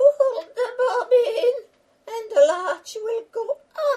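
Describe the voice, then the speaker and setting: A cartoonish character voice speaks at an extremely high pitch and a very slow pace. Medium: puppet.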